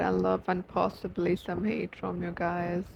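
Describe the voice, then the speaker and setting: A woman speaks at a moderate pace with a non-native accent and a fairly low pitch. Noticeable background noise runs behind her. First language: not English. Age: 18. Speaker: YouTuber. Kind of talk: personal vlog. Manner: animated.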